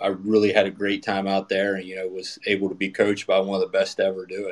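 A man with an American accent, fairly low in pitch, fairly quick and monotone with flat intonation. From western Maryland, US. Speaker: assistant baseball coach. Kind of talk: casual interview. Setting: Twitter Spaces, online audio.

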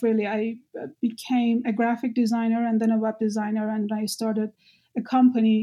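Speaking in a Persian accent, a woman has a fairly high voice. It is dark and mellow in tone and somewhat breathy. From Iran. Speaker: activist and graduate student. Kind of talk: interview conversation.

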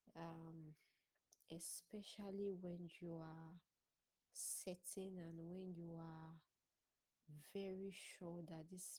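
A woman speaks at a very slow pace and a fairly low pitch, in a monotone, flat delivery. Her tone is dark, mellow and somewhat breathy. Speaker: discussion panelist. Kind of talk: panel discussion contribution. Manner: hesitant, many fillers.

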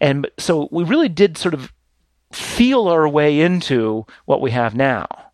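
In an unremarkable speaking voice, a man talks at a fairly slow pace with a fairly high pitch and lively intonation. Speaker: publication editor and tech writer. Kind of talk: casual interview chat.

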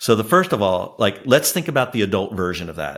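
In an ordinary speaking voice, a man talks at a fairly quick pace and fairly low pitch, captured in a very clean recording with a silent background. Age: 60s. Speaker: startup founder and author. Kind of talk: interview.

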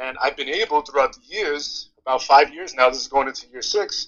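Speaking with an American accent, a man uses a fairly high pitch. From New York, Yonkers. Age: 30s. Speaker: dividend investor and PE teacher. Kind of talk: casual chat. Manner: animated.

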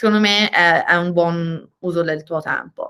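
A woman speaks with a bright, sharp tone and ordinary pitch variation. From Tuscany, Italy (Viareggio). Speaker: venture capital investor. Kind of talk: interview. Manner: halting with repeated words.

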